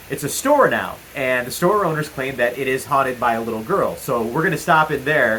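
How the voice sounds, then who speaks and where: Against noticeable background noise, a man talks at a fairly quick pace with hardly any pauses, a fairly high pitch and ordinary pitch variation. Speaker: paranormal investigator vlogger. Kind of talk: casual vlog talk to camera. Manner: loud.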